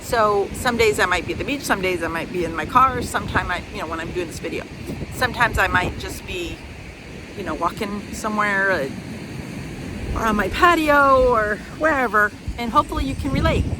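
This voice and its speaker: Using an American accent, a woman with a medium pitch speaks at a fairly quick pace with lively intonation and long, frequent pauses, over noticeable background noise. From US Midwest. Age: 60s. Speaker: vlogger. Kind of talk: casual vlog talk. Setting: outdoors at the beach. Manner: hesitant, many fillers.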